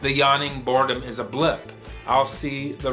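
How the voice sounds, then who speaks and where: This is a man speaking. Music plays faintly in the background. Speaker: poet. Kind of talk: poetry reading. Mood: weary, melancholic, wry. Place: home room.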